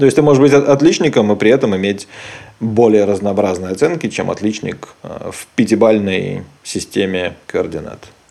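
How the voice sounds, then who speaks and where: A man speaks at a moderate pace in a plain, everyday voice. His pitch is fairly low and his intonation lively. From Belarus. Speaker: podcast host. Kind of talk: casual chat.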